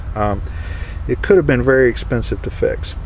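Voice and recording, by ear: Over clear background noise, a man speaks at a medium pitch and moderate pace with ordinary pitch variation.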